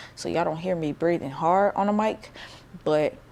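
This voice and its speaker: Pitch moves in an ordinary way while noticeable background noise carries on behind the speech. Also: woman. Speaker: soldier and vlogger. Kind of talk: casual vlog.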